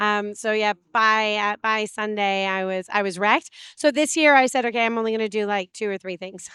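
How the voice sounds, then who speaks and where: In a Canadian accent, a woman with a fairly high pitch and a bright, sharp tone talks at a fairly quick pace with hardly any pauses, captured in a very clean recording with a silent background and a dry, close sound with no echo. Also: ordinary pitch variation. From Canada. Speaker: web3 community builder and blockchain trainer. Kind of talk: interview. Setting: conference. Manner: casual, many filler uhs.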